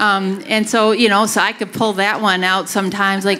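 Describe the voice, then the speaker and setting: Noticeable background noise runs under the recording. A woman speaks with a Wisconsin accent. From Wisconsin, US (Grafton). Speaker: university researcher and author. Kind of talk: public talk Q&A.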